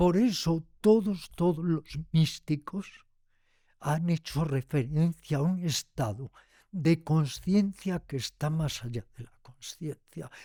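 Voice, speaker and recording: A man's fairly high voice at a very slow pace, with big swings in loudness. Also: ordinary pitch variation, dry, close sound with no echo. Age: 80s+. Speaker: yoga teacher and writer. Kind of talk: interview conversation.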